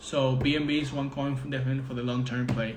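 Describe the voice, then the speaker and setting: Speaking fairly quickly with a Spanish accent, a man uses a fairly high voice, with noticeable background noise and audible room echo. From Venezuela. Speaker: trading mentor. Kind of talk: live-stream Q&A. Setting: Instagram live video. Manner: halting.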